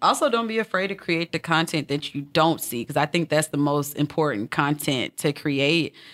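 A woman speaks with a very deep, low voice and hardly any pauses. The very clean recording sounds dry and close, with no echo and a silent background. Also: ordinary pitch variation, moderate pace. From Alabama. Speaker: podcast host. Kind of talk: casual chat.

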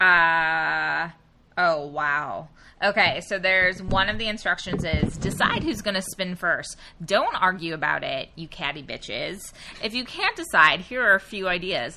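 With lively intonation and a medium pitch, a woman speaks at a fairly slow pace against noticeable background noise. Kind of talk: casual comedic chat.

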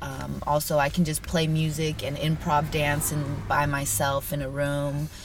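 A woman's very deep, low voice, monotone and flat, fairly slow with hardly any pauses, over noticeable background noise. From US Pacific Northwest (Yakima, Washington), born in Brazil. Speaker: jiu-jitsu instructor and dancer. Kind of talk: interview. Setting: video call.

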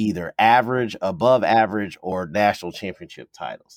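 A plain, everyday voice: a man with fairly low pitch and an American accent, ordinary pitch variation at a moderate pace, dry, close sound with no echo, and a very clean recording with a silent background. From US South (Kentucky). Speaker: sports historian, podcast co-host. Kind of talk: casual chat.

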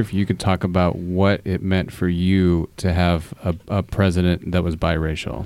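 In an American accent, a man speaks at a very deep, low pitch. His tone is dark and mellow. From Fort Wayne, Indiana. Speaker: teacher and podcast host. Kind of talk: moderated discussion. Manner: hesitant, many fillers.

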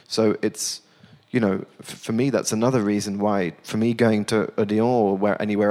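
Speaking at a moderate pace, a man with a British accent uses a fairly low pitch and fairly even intonation. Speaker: theater director.

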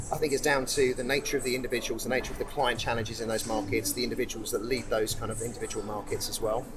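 Noticeable background noise sits behind a man speaking at a very fast pace. He barely pauses, and his intonation stays fairly even. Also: medium pitch for a man. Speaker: business executive. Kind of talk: interview chat.

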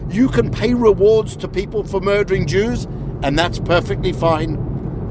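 A man with a high-pitched voice speaks at a moderate pace over noticeable background noise. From South Africa. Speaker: media watchdog analyst and advocate. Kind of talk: interview.

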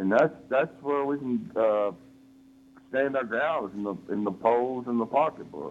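A man with an American accent talks at a fairly slow pace in an ordinary speaking voice. His pitch sits in the medium range, and his intonation is lively. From Texas. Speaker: caller. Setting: phone call.

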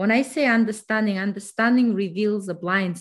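A somewhat breathy woman speaks at a moderate pace, her medium pitch showing ordinary variation. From Kazakhstan. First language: not English (English is third language). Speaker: financial mentor. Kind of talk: interview.

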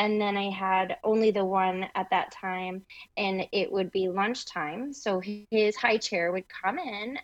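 An ordinary speaking voice with an American accent talks at a fairly slow pace. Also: woman. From Michigan, US Midwest. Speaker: interior designer and business owner. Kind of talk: interview.

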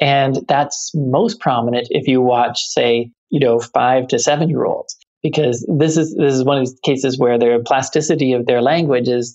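A man's fairly high voice with a Canadian accent, fairly even intonation, a moderate pace and hardly any pauses. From Canada. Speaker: UX design executive and cognitive scientist. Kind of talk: podcast interview. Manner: hesitant, many fillers and repeated words.

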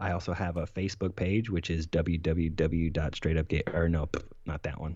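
Flat, monotone intonation, somewhat breathy, at a fairly slow pace. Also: man, very deep, low pitch for a man. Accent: American. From Florida. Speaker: podcast host, former Marine. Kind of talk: interview conversation.

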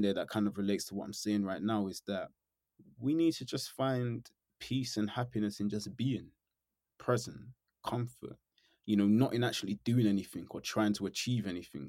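A man's dark, mellow voice, fairly low in pitch with ordinary pitch variation, at a fairly quick pace in a very clean recording with a silent background. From England, East London then Norfolk. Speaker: YouTuber and musician. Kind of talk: casual interview.

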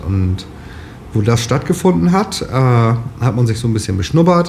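A man of medium pitch with lively intonation at a moderate pace, against noticeable background noise. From northern Lower Saxony, Germany. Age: 30s. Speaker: farmer. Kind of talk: interview.

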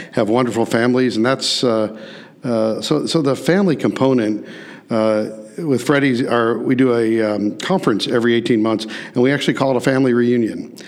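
At a moderate pace, a man speaks in a medium pitch with ordinary pitch variation amid noticeable background noise. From US Midwest, St. Louis. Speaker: restaurant chain executive. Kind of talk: interview. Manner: hesitant fillers.

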